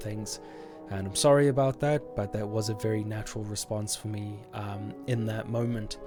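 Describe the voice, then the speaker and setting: Music plays in the background as a man talks fairly quickly at a fairly low pitch with ordinary pitch variation. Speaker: gaming YouTuber. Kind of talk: casual talk to camera.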